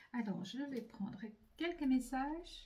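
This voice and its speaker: A woman speaks at a very slow pace with lively intonation. Her pitch is high and her tone dark and mellow. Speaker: psychic medium doing card readings. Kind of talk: spiritual card reading to camera. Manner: hesitant, many fillers and repetitions.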